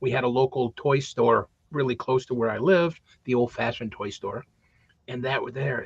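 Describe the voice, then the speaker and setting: A man talks at medium pitch and a moderate pace, with ordinary pitch variation. His voice is somewhat breathy, with a dry, close sound and no echo. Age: 60s. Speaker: talk show co-host. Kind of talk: casual chat.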